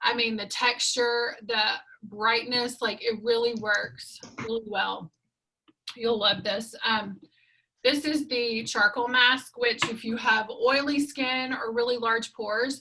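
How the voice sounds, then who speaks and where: In a Southern accent, a woman speaks very slowly at a fairly high pitch with fairly even intonation. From US South. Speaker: skincare sales consultant. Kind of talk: sales pitch.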